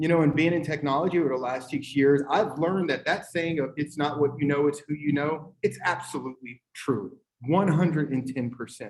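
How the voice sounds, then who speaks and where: Somewhat breathy and fairly high, a man's voice moves at a fairly quick pace. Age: 40s. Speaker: tech company owner, panelist. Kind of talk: panel discussion. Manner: animated.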